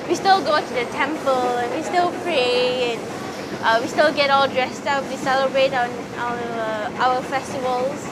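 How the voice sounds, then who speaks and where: Speech at a moderate pace, with audible room echo and noticeable background noise. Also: woman. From Malaysia. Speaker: interviewee. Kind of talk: interview.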